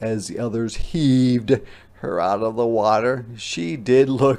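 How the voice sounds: Read in a natural voice, the passage keeps its intonation fairly even.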